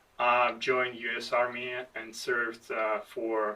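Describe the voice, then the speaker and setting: A man speaks with a non-native accent. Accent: foreign. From outside the United States. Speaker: army veteran, podcast co-host. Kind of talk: casual chat. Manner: halting.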